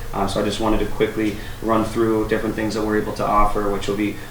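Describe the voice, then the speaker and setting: A man talks at a fairly low pitch with monotone, flat intonation. Both noticeable background noise and audible room echo are present. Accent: American. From Martha's Vineyard, Massachusetts. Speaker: youth program manager at a community agency. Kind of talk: radio interview.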